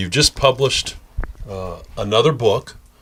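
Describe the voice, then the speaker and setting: At a moderate pace, a man speaks with a slight Southern US accent. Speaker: TV show host. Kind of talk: interview.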